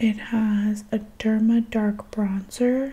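Soft-spoken and very slow, a woman talks in a fairly high pitch with flat, monotone intonation. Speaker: ASMR creator. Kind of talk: ASMR show-and-tell talk to camera. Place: home room. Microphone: studio mic.

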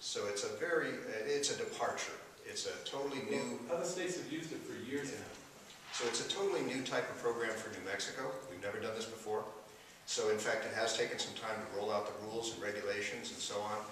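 Over light background noise and strong room echo, a man talks at a very fast pace. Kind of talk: press conference answer. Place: classroom.

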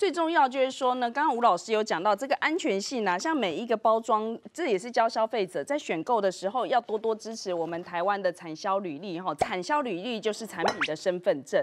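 A woman speaks at a fairly quick pace in a fairly high pitch. Her voice makes very wide pitch swings. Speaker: TV show host. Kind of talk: TV cooking show hosting. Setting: studio. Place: studio. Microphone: lapel.

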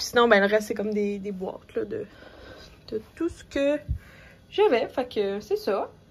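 In a Quebec accent, a woman with a fairly high pitch speaks at a fairly slow pace, with ordinary pitch variation, big swings in loudness and long, frequent pauses. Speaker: lifestyle vlogger. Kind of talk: casual vlog talk to camera. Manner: hesitant, many fillers. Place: home room. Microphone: phone near.

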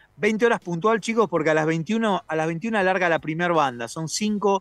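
High-pitched male speech at a moderate pace with ordinary pitch variation, dry and close with no echo, over a quiet background. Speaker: music festival organizer. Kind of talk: radio interview. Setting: video call; outdoors.

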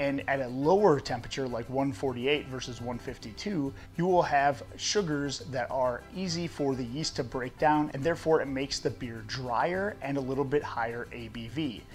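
A man talks at a fairly slow pace while faint music plays behind him. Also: ordinary pitch variation. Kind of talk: tutorial. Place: garage.

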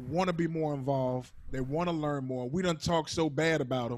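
A man at a moderate pace, pitch moving in an ordinary way. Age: 40s. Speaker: interview host and DJ; interview host, DJ. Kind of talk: casual interview. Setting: video call. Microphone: handheld.

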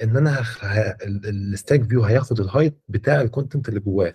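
A man's dark, mellow, somewhat breathy voice with lively intonation. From Egypt. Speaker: software mentor. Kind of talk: mentoring session. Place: home room. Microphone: video call.

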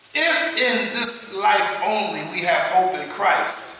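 A man speaks very slowly in a raised, projected voice, with strong echo filling the room. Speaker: preacher. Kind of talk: scripture reading in a sermon. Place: church.

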